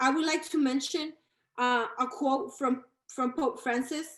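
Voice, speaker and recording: A woman speaks very slowly with a Spanish accent. Her high pitch shows ordinary variation. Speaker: community organizer. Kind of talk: panel talk. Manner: halting, many fillers.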